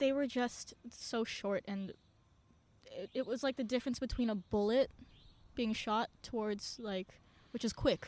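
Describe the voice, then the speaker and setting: Speaking with an American accent, a woman with a fairly high pitch keeps her intonation fairly even and talks at a fairly slow pace with long, frequent pauses. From Indonesia. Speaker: singer-songwriter and activist. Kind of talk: podcast interview.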